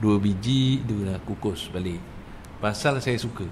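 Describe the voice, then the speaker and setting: Audible room echo is present in the clip. A man is the one talking. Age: 60s. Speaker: religious teacher. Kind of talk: religious lecture. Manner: animated.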